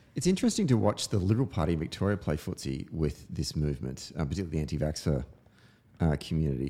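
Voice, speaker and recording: A man with an Australian accent speaks at a very fast pace. His very deep, low voice has a dark, mellow tone and vocal fry. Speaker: podcast host. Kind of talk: casual chat. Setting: studio.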